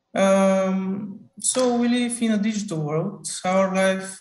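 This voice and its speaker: With faint music in the background and audible room echo, a man with a Bulgarian accent speaks at a high pitch with fairly even intonation. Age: 20s. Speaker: student researcher; conference presenter. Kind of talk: conference talk. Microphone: video call.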